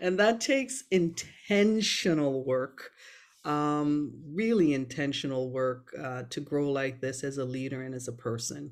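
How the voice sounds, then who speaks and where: With an American accent, a woman speaks at a fairly slow pace in a very deep, low pitch with lively intonation. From Jamaica. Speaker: surgeon and department chair. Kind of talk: interview conversation. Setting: video call from her office.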